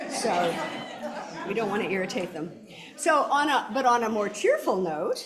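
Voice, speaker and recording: A woman talks with lively intonation at a fairly high pitch. The recording has audible room echo and noticeable background noise. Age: old. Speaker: minister. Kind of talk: church service welcome and announcements. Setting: church. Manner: clear, projected speaking.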